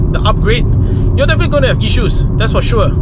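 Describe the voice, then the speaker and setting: A man's voice comes through dry with no echo, while loud background noise fills the clip. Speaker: car vlogger. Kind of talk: casual vlog chat. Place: car. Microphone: phone near.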